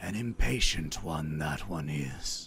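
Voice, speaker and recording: A put-on character voice from a man, very deep and low, at a fairly slow pace amid clear background noise. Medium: actual play. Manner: dry, amused, grandfatherly.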